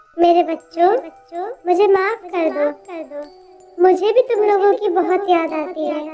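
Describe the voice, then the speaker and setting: In a put-on character voice pitched extremely high, a woman speaks at a fairly slow pace with faint music in the background. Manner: menacing, cackling.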